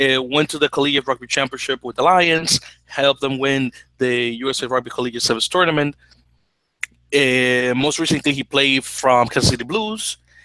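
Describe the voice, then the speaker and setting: A man with a bright, sharp tone and fairly high pitch speaks at a moderate pace with ordinary pitch variation, in a dry, close sound with no echo. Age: 20s. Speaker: rugby podcast co-host. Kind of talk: casual chat. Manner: halting.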